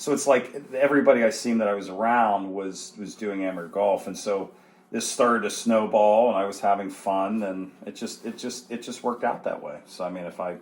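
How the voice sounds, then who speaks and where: A man with a fairly low pitch and a plain, everyday voice speaks at a fairly quick pace with hardly any pauses, ordinary pitch variation and big swings in loudness. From Western Pennsylvania (Brookville). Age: 40s. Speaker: amateur golfer. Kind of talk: interview conversation.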